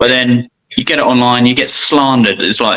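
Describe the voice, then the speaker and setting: A man at a medium pitch and a moderate pace, with a plain, everyday voice. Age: 30s. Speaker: custom motorcycle shop owner. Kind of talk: casual chat.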